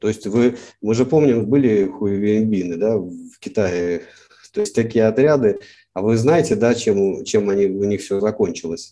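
Speaking at a fairly slow pace, a man with a fairly low pitch shows ordinary pitch variation. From Russia, St. Petersburg. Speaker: cartoonist. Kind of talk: interview. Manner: halting.

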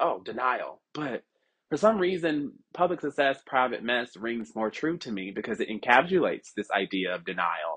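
Lively intonation from a man at a moderate pace, against a quiet background. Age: 20s. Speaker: podcast host. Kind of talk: personal monologue. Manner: free-flowing.

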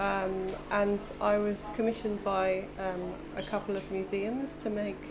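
With an English accent, a woman talks in a fairly even tone against noticeable background noise. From England. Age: 40s. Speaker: installation artist. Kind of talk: casual interview. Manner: halting, many fillers.

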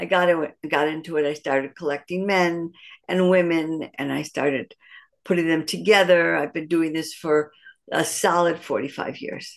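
A fairly low-pitched woman's voice with an American accent, moderate pace and fairly even intonation. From US Midwest, Detroit. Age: 60s. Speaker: matchmaker. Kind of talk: interview. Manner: halting, many fillers and restarts.

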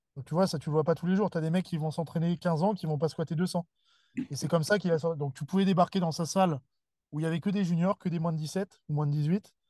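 A man's high-pitched, dark, mellow voice at a very fast pace, fairly even in intonation, dry and close with no echo, over a quiet background. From Paris region, Seine-et-Marne. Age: 20s. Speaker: weightlifting coach and gym founder. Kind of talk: casual interview chat.

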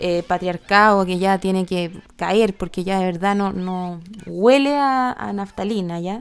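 A woman with a Chilean accent speaks fairly slowly in a very clean recording with a silent background. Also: medium pitch for a woman, ordinary pitch variation. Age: 30s. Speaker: podcast host. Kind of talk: solo podcast monologue. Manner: halting, many repetitions and fillers.

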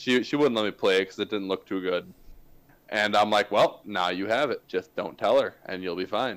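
With an unremarkable speaking voice, a man of fairly low pitch talks at a moderate pace with ordinary pitch variation in a very clean recording with a silent background. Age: 20s. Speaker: podcast co-host. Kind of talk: casual chat.

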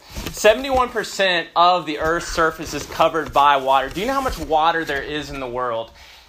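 A man with an American accent, fairly high in pitch, with very wide pitch swings, big swings in loudness and noticeable background noise. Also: moderate pace, hardly any pauses. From US South, Memphis, Tennessee. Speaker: pastor. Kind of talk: sermon.

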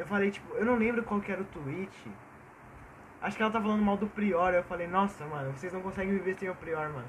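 Over noticeable background noise, a man with a high voice speaks at a very fast pace with ordinary pitch variation. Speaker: podcast co-host. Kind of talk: casual chat. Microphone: cheap Samsung earphone mic.

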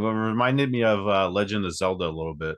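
A man rushes through his words at a very fast pace, his pitch fairly low. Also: quiet background. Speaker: podcast host. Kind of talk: casual interview.

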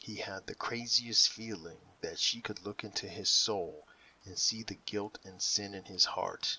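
Every line comes in a natural reading voice.

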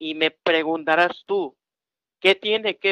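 The recording is dry and close, with no echo. A man with a high pitch talks at a very slow pace with ordinary pitch variation. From Mexico, Tamaulipas (Ciudad Victoria). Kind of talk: casual religious talk show.

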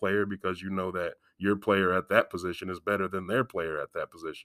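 A man with a Midwestern American accent speaks very fast in a very deep, low voice with a bright, sharp tone and monotone, flat intonation, on a very clean recording with a silent background. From Galesburg, Illinois, US Midwest. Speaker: high school football coach and school security staff. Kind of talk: casual interview.

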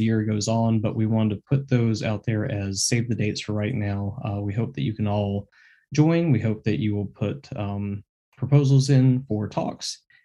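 A man with an ordinary speaking voice talks at a moderate pace and a fairly low pitch with ordinary pitch variation. The background is quiet. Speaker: podcast host. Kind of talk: podcast intro and outro monologue.

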